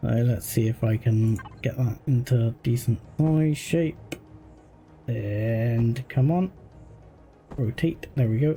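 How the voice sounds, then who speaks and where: With music in the background, a man speaks at a very slow pace and medium pitch, with very even loudness, ordinary pitch variation, and long, frequent pauses. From Cornwall, England. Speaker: video game streamer. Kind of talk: live gameplay stream commentary. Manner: casual, hesitant with many fillers.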